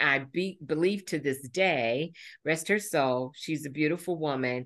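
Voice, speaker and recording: Over a quiet background, a woman speaks with a very deep, low pitch and ordinary pitch variation. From Indiana. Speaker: mindfulness teacher. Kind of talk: interview. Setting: video call. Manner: halting.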